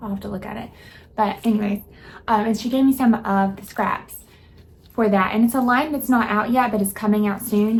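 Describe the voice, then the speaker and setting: With an American accent, a woman talks at a fairly quick pace in an ordinary speaking voice of medium pitch. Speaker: sewing vlogger. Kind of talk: casual vlog.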